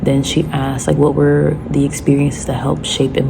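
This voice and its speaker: Against noticeable background noise, a woman speaks very fast. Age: 20s. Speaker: vlogger. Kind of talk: casual vlog.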